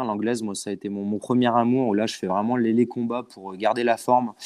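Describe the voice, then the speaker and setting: A man speaks in a normal speaking voice. His intonation is fairly even, and the background is quiet. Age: 20s. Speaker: boxer and coach. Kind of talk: casual chat.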